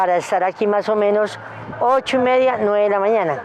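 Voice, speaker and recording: Music runs underneath. A woman talks over it. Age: 60s. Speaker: street vendor. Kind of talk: interview testimony. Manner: halting.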